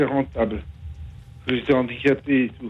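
A man speaks at a fairly slow pace, his medium-pitched voice monotone and flat. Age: 50s. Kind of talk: testimony. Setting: phone call. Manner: halting, hesitant.

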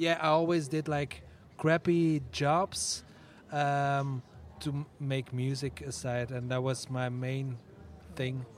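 Long, frequent pauses mark a man's very slow delivery, his fairly high pitch held in fairly even intonation. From Netherlands. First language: Dutch (speaking French). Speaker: musician. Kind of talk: interview. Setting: festival radio booth.

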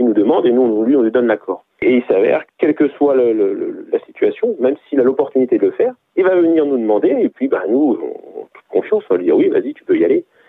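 Talking at a very fast pace with hardly any pauses, a man's voice shows big swings in loudness. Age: 40s. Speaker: parent guest. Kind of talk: casual chat. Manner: halting.

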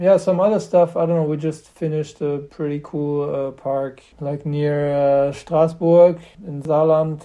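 A man with a German accent, fairly high pitch, fairly even intonation and a fairly slow pace. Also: hardly any pauses. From Germany, Göttingen. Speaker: skateboarder and skatepark builder. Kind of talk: casual interview chat. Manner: halting, many fillers.

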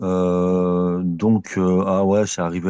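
This man's voice is very deep and low, with a dark, mellow tone that is calm. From France, Bron near Lyon. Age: 40s. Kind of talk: interview. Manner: hesitant.

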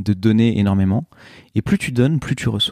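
Here a man speaks with a fairly low pitch and a dark, mellow tone, at a moderate pace with ordinary pitch variation. The recording is very clean with a silent background, and the sound is dry and close with no echo. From eastern France, Ain (Oyonnax). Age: 30s. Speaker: podcaster and fashion entrepreneur. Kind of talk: interview conversation. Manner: hesitant, many fillers and repetitions.

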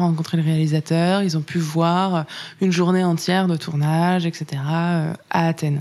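This woman's voice is fairly low in pitch, with a dark, mellow tone. Her intonation stays fairly even. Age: 30s. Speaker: influencer marketing manager. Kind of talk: interview.

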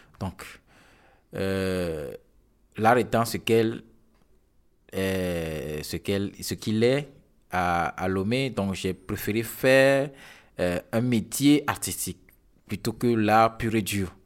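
Very slowly and with long, frequent pauses, a man talks in a fairly low pitch with ordinary variation. The recording is very clean, the background silent. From Togo. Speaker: photographer. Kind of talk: interview. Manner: halting.

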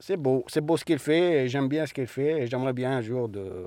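On a very clean recording with a silent background, a man with a dark, mellow tone talks at a fairly quick pace, medium in pitch with ordinary pitch variation. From Algeria. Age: 30s. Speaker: asylum seeker, workshop participant. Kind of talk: testimony.

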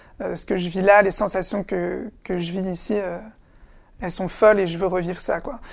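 Speaking at a moderate pace with medium pitch and vocal fry, a woman keeps her intonation fairly even and leaves long, frequent pauses. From France, Essonne (Paris suburbs). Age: 20s. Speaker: actor. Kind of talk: interview. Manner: halting, with repetitions.

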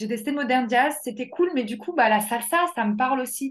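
An animated woman with a high pitch and ordinary pitch variation, at a fairly slow pace. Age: 30s. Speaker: life coach and dance therapist. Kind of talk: casual interview.

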